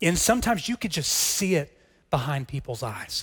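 A man with an American accent has an unremarkable speaking voice, fairly high in pitch, with lively intonation. The recording is very clean, with a silent background. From Texas. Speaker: pastor. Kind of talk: sermon.

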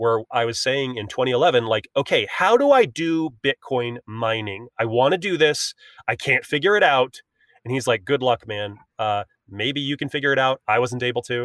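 A plain, everyday voice from a man at medium pitch, with ordinary pitch variation and a moderate pace. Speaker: filmmaker. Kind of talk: interview.

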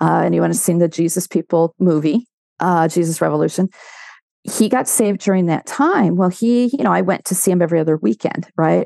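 Speaking at a fairly quick pace, a woman with a fairly low pitch and a dark, mellow tone uses lively intonation, her loudness very even and the sound dry and close with no echo. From Southern California, Orange County. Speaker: faith-based ministry consultant. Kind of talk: testimony.

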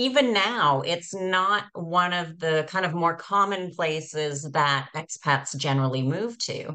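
A woman with a plain, everyday voice, fairly low in pitch, with a Canadian accent and a fairly slow pace. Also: quiet background. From Canada. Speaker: podcast host. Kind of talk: interview.

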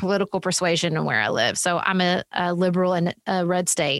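A woman talks with a Southern US accent. The sound is dry and close with no echo, in a very clean recording with a silent background. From US South. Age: 40s. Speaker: political podcast host and author. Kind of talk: casual interview conversation.

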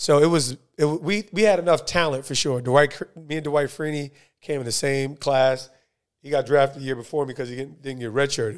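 A plain, everyday voice from a man, fairly high in pitch and fairly quick in pace, with ordinary pitch variation, big swings in loudness and a very clean recording with a silent background. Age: 40s. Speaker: podcast host, former pro football player. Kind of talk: casual interview.

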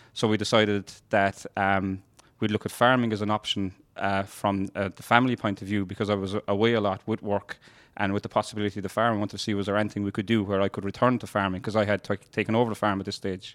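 In a Kerry accent, a man talks at a very fast pace with a flat, monotone delivery and a fairly low pitch, recorded very cleanly against a silent background with a dry, close sound and no echo. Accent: Kerry Irish. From Ireland, North Kerry. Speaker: dairy farmer. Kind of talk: interview.

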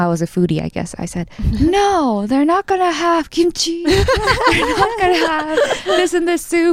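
Noticeable background noise surrounds a woman with an American accent. She talks at a moderate pace, her pitch swinging very widely. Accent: sounds American. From Korea, raised in the US from childhood. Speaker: podcast guest. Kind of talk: casual chat.

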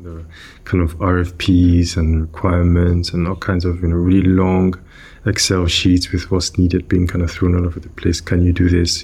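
At a moderate tempo, the speech comes out somewhat breathy. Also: man. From Nigeria. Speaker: product manager. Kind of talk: interview.

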